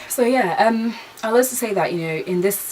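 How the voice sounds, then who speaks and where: A woman with lively intonation, set against noticeable background noise. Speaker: vlogger, aspiring TV presenter. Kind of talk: casual chat. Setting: sitting down talking to camera. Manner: fast, stumbling over words; casual, filler-heavy.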